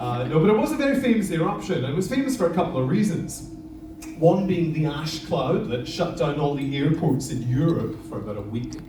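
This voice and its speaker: With noticeable background noise and audible room echo, a man with a fairly high voice speaks fairly quickly in an animated tone, making very wide pitch swings. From Scotland, Isle of Lewis, Outer Hebrides. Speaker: lava show presenter, former teacher. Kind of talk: live show presentation to audience. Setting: stage with audience.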